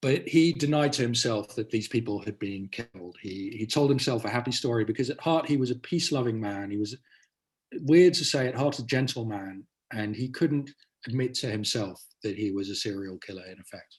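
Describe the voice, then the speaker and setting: A man talks at a fairly quick pace in a medium-pitched voice. His voice is somewhat breathy. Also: ordinary pitch variation, big swings in loudness. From Netherlands (British family). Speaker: author and journalist. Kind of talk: interview conversation.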